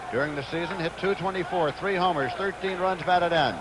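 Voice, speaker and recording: Noticeable background noise sits behind a man with a high pitch and fairly even intonation, the sound dry with no echo. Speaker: baseball color commentator and announcer; baseball color commentator, announcer. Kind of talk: 1970s baseball broadcast commentary. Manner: relaxed, chatty, amused.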